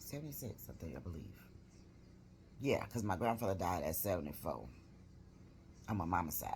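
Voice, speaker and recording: A woman speaks at a fairly quick pace in a very deep, low voice with vocal fry and very wide pitch swings, leaving long, frequent pauses amid audible room echo. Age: 60s. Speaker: vlogger. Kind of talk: casual vlog update. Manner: rambling, conversational.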